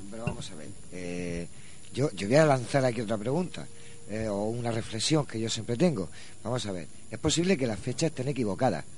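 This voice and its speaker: A man at a fairly quick pace and medium pitch, with lively intonation and audible room echo. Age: 50s. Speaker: radio co-host. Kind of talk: radio talk show.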